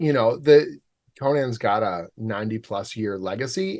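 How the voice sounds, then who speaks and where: With a Canadian accent, a man speaks at a medium pitch with lively intonation over a quiet background. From Canada, Oshawa, Ontario. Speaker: comic book writer. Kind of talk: casual interview chat. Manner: animated.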